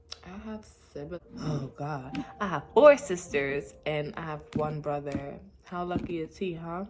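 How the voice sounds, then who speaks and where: Over noticeable background noise, a woman with a very deep, low pitch speaks at a fairly slow pace with ordinary pitch variation. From New York (Brooklyn). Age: 20s. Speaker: vlogger. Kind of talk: casual vlog monologue. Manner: halting, many fillers.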